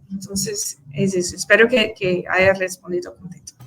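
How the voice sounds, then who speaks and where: A woman with a Brazilian accent speaks in a bright, sharp tone with ordinary pitch variation. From Brazil, Recife, Pernambuco. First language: Portuguese (speaking Spanish). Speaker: conference speaker, teacher. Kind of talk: conference Q&A answer. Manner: halting, many fillers and repetitions.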